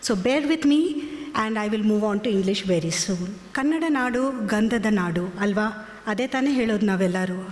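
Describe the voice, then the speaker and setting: A woman's fairly high voice at a fairly slow pace, with very even loudness, audible room echo and noticeable background noise. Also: lively intonation. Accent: Kannada. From India, Karnataka. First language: Kannada. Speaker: company executive. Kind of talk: speech at press event.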